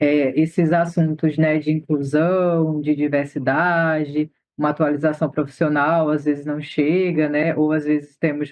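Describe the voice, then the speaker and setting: Monotone and flat, a man with fairly high pitch speaks at a moderate pace. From Northeast Brazil. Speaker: doula and activist. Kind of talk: interview.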